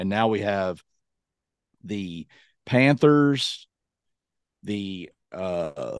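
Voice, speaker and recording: Very slowly, a man with a Southern US accent talks at a fairly low pitch with lively intonation. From Kentucky. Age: 40s. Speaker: podcast co-host. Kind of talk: casual chat. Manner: animated.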